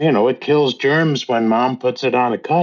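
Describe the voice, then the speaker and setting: A man speaks at a fairly slow pace. He has a normal speaking voice. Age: 60s. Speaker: teacher and tree conservation volunteer. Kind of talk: interview.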